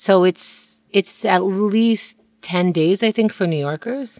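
Heard in a dry, close sound with no echo, a woman with a normal speaking voice and fairly low pitch speaks with lively intonation. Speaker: podcast co-host. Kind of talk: casual chat. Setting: home closet, isolation.

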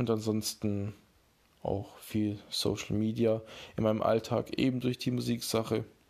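The man's pitch sits fairly low. His intonation is monotone and flat. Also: fairly slow pace, very even loudness. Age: 20s. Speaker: podcast host and beat producer. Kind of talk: casual solo podcast intro.

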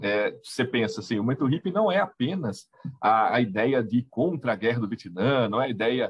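With a plain, everyday voice at medium pitch, a man speaks at a moderate pace, his intonation lively and his loudness very even. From Brazil, Itapira (São Paulo state). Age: 40s. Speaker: history teacher. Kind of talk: casual chat.

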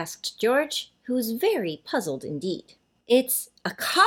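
Someone reads aloud in a natural voice over a quiet background.

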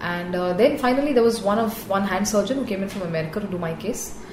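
Over noticeable background noise and audible room echo, a woman talks at a very fast pace in a medium pitch with ordinary pitch variation. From India, raised on Air Force bases. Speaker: dentist and motorcycle racer. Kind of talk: interview.

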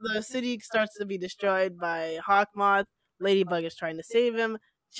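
Quiet surroundings, ordinary pitch variation, and plain reading aloud

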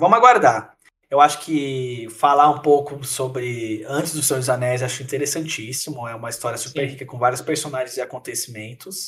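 A man's normal speaking voice at a medium pitch, fairly quick pace, ordinary pitch variation and big swings in loudness. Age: 20s. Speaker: podcast co-host. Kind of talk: casual chat.

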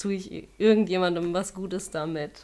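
Here is an ordinary speaking voice: a woman with a fairly low pitch. She talks at a fairly slow pace with fairly even intonation. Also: very clean recording, silent background. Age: 30s. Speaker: yoga teacher and web designer. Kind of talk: casual interview.

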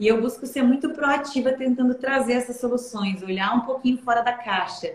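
Speaking at a moderate pace, the woman has a high pitch and fairly even intonation. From southern Brazil, Santa Catarina interior (Aurora). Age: 20s. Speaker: investment advisor. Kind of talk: interview. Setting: live stream.

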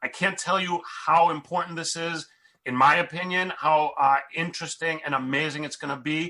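A man with an American accent speaks at a moderate pace in a high, bright, sharp voice. His intonation stays fairly even. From US. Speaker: podcast host. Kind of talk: podcast intro and interview. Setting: video call.

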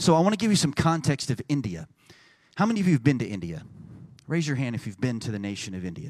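In a Texan accent, a man with a fairly high voice talks very fast, his pitch swinging very widely. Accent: Texan American English. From Texas. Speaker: pastor. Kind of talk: sermon. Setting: church. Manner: animated.

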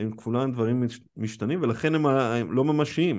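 A man's medium-pitched voice in a dark, mellow tone, with ordinary pitch variation, a moderate pace and a quiet background. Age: 40s. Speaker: study group teacher. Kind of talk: lecture. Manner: halting.

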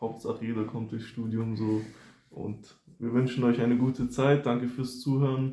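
At a moderate pace and medium pitch, a man speaks in a dark, mellow tone with monotone, flat intonation. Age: 20s. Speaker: first-year student. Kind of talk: casual chat.

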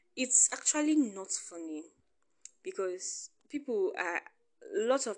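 A woman speaks with a Nigerian accent. The background is quiet. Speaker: podcast host. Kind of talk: personal monologue. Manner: casual, laughing often.

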